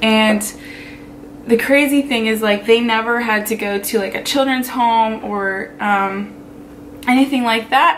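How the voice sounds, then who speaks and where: A woman speaks in a fairly high voice at a fairly slow pace, with fairly even intonation and long, frequent pauses. Noticeable background noise sits behind her. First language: Pennsylvania Dutch (German Dutch). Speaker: vlogger. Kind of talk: casual personal talk to camera.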